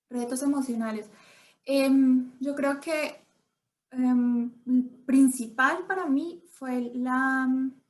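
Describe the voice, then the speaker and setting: A woman speaks at a high pitch with fairly even intonation. Her pace is very slow, broken by long, frequent pauses. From Colombia. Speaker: immigrant interviewee. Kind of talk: interview conversation.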